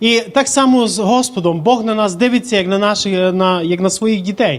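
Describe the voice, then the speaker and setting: At a fairly quick pace, a man speaks with a high pitch and ordinary pitch variation. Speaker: church interpreter. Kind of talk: consecutive sermon interpretation.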